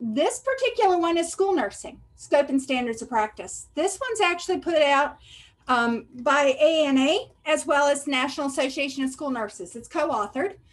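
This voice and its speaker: Speaking with a Southern US accent, a woman uses lively intonation at a high pitch. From US South. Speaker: school health services administrator. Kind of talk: training presentation. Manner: fast when excited.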